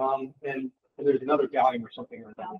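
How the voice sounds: A man's fast, lively voice at medium pitch, with vocal fry, a slightly husky edge and a dry, close sound with no echo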